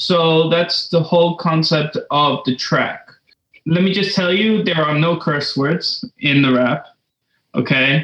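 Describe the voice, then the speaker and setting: An American man with a high voice speaks very slowly, his pitch moving in an ordinary way and his loudness staying very even. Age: young. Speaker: composer and saxophonist. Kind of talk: interview. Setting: video call.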